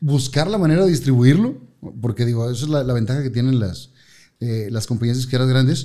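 Over a quiet background, a man talks at a fairly quick pace with ordinary pitch variation. His medium-pitched voice has a dark, mellow tone. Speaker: TV host and radio announcer; TV host, radio announcer. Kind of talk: casual chat. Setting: studio. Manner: animated. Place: studio. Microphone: studio mic.

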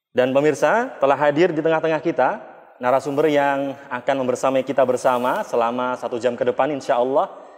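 A man speaks at a fairly high pitch with fairly even intonation. The background is quiet. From Indonesia. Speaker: television program host. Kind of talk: panel discussion. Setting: on location at a mosque. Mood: friendly, smiling.

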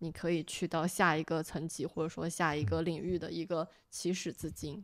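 In a plain, everyday voice, a woman speaks at a moderate pace and a fairly low pitch against a quiet background. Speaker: recent master's graduate; podcast guest. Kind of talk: casual chat. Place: home room. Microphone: studio mic.

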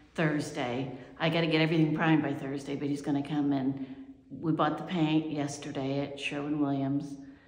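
A woman's very deep, low voice, monotone and flat, with audible room echo. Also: moderate pace. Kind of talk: casual vlog chat. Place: home room. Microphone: phone near.

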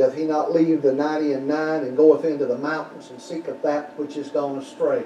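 Light background noise and audible room echo surround the male speaker. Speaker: pastor. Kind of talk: sermon. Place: church. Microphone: podium.

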